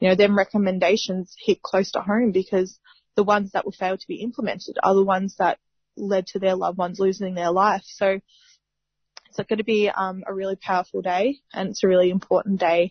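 A woman talks fairly quickly in a medium pitch, somewhat breathy and with monotone, flat intonation. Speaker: justice campaigner and foundation founder. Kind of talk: radio interview.

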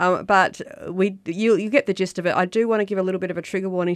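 With an Australian accent, this speaker talks at a very fast pace with fairly even intonation. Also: woman. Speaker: radio co-host, housing advocacy director. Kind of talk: community radio chat. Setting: radio studio.

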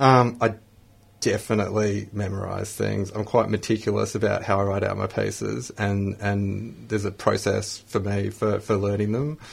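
In an Australian accent, the voice is somewhat breathy, moving at a moderate pace with fairly even intonation. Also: man, fairly low pitch for a man. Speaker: spoken word poet, radio studio guest.

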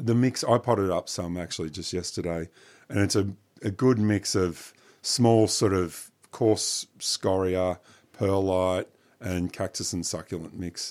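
A man with an Australian accent talks at a fairly slow pace with fairly even intonation and a very deep, low pitch. The recording is very clean, with a silent background. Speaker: botanic garden curator. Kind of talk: radio gardening talk show. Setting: studio.

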